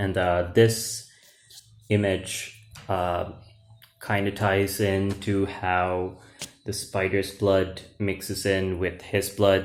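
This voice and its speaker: Speaking with a Sri Lankan accent, a man delivers his words very slowly in a very deep, low voice with monotone, flat intonation. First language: Sinhala. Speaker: YouTuber, comic book author and English teacher. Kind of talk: casual video walkthrough of own comic book. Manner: hesitant, many fillers.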